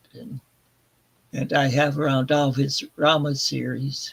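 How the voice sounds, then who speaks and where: A man at a fairly high pitch, somewhat breathy, with monotone, flat intonation and a moderate pace. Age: 60s. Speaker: book channel host. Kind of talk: casual live stream chat. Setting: live stream. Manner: halting, many filler sounds.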